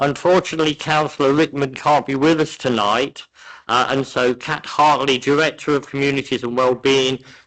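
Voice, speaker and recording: A man speaks with an English accent at a moderate pace. His pitch is fairly high, with fairly even intonation. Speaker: committee chair. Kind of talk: chairing a council meeting. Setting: council meeting room with desk microphones.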